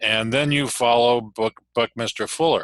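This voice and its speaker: A man's fairly slow, monotone delivery at medium pitch, bright and sharp in tone, with a dry, close sound and no echo. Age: 60s. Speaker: parent rights advocate. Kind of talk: meeting introduction speech.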